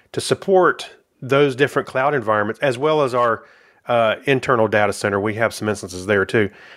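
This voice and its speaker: In a normal speaking voice, a man with an American accent talks at a fairly quick pace with medium pitch and ordinary pitch variation, in a very clean recording with a silent background. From South Carolina, US South. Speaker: software manager. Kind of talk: casual interview.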